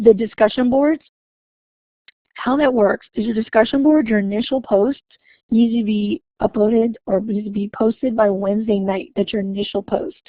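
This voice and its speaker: This woman has a fairly high, somewhat breathy voice. Her pitch varies in an ordinary way. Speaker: university instructor. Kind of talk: online class webinar. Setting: online webinar session. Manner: fast; hesitant with fillers.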